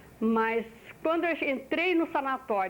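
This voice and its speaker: A woman at a fairly slow pace. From Brazil, Minas Gerais. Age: 60s. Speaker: oral history interviewee. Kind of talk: oral history testimony. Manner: halting, with repetitions.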